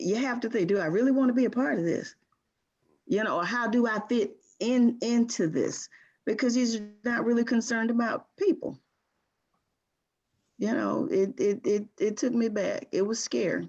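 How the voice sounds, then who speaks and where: Pausing long and often at a moderate pace, a woman with a Southern US accent talks at a fairly high pitch with lively intonation. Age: 60s. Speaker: community group participant. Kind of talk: group video call discussion.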